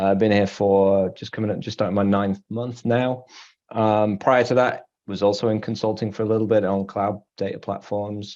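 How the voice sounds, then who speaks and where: Against a quiet background, a man with an English accent speaks in a fairly low pitch, his tone dark and mellow and his intonation monotone and flat. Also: moderate pace. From England, Manchester area. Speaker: solution architect. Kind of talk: panel discussion.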